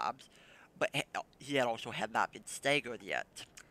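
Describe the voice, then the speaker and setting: A man's voice has a bright, sharp tone. The sound is dry and close, with no echo. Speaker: gaming guide creator. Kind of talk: gameplay tutorial commentary. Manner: halting.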